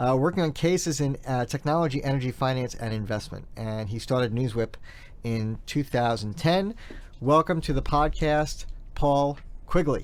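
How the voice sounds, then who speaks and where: A man speaks with a New York accent. His pitch sits fairly high. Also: ordinary pitch variation, moderate pace. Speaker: podcast host, PR content strategist. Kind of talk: podcast interview.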